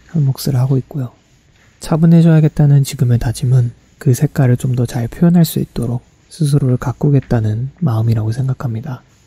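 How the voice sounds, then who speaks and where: Somewhat breathy and dark, mellow in tone, a man's medium-pitched voice moves at a moderate pace with fairly even intonation in a dry, close sound with no echo. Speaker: graduate student vlogger. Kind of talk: reflective vlog narration.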